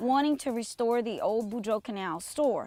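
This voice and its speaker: A woman speaks in a South Louisiana accent at a moderate pace. Her pitch is fairly high, with ordinary variation. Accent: south Louisiana bayou. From US South, south Louisiana bayou (Chauvin). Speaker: retired teacher and event organizer. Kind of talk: casual interview. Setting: outdoors. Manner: halting.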